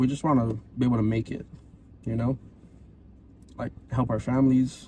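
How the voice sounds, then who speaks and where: A man's dark, mellow, somewhat breathy voice at a medium pitch and a fairly quick pace. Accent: Hawaiian. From Hawaii. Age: 20s. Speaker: podcast co-host. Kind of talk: casual chat.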